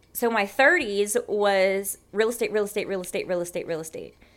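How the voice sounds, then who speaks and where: A woman talks with ordinary pitch variation. The background is silent in this very clean recording. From South Louisiana. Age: 30s. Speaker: real estate agent and psychic medium. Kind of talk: casual interview chat.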